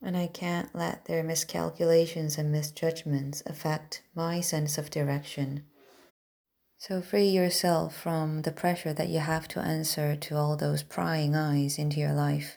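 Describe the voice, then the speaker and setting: A woman with a non-native accent speaks at a fairly slow pace in a very deep, low pitch, her tone dark and mellow and her intonation monotone and flat, in a very clean recording with a silent background. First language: not English. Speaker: self-improvement podcaster. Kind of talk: motivational monologue.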